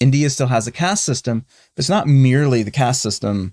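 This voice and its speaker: A man with an American accent speaks at a moderate pace and medium pitch, with ordinary pitch variation. The recording is very clean with a silent background, and the sound is dry and close with no echo. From US South, North Carolina. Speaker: podcast co-host. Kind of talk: conversational discussion. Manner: halting, many false starts.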